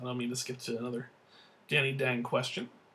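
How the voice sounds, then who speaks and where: A man mumbles with an American accent. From New Jersey. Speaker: vlogger. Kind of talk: casual monologue answering viewer questions. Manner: mumbling.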